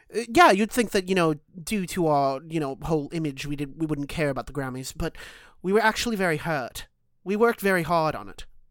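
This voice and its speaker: On a very clean recording with a silent background, a woman talks at a fairly quick pace with lively intonation. Hers is an unremarkable speaking voice, fairly low in pitch. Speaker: podcast co-host. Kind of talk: casual banter, podcast chat. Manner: joking, playful.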